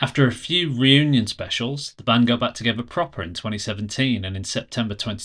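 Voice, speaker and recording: A man talks at a medium pitch in a Brummie accent. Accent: Brummie, on some words. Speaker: podcast host. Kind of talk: casual interview chat; scripted intro narration. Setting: video call.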